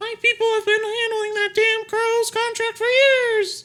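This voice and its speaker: A man speaks at a moderate pace in a put-on character voice pitched extremely high. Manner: put-on, exaggerated voice.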